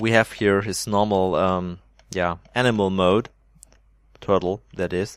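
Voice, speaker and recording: Speaking at a fairly slow pace with long, frequent pauses, a man with a German accent uses fairly low pitch and monotone, flat intonation. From Germany. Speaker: Minecraft builder and video creator. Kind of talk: gameplay showcase commentary. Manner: hesitant, many fillers.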